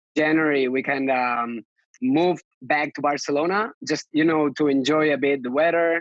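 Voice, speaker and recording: A man with a Catalan accent, fairly high in pitch, with ordinary pitch variation. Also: moderate pace. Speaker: lettering artist and designer. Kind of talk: podcast interview. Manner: halting, many fillers.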